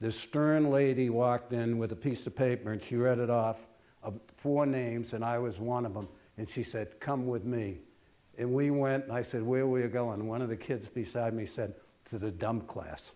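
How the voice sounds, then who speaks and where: With an American accent, a man's dark, mellow voice moves in fairly even intonation. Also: medium pitch for a man, moderate pace. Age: 80s+. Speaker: retired pediatric surgeon. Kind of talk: talk to an audience. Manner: hesitant, with many filler words.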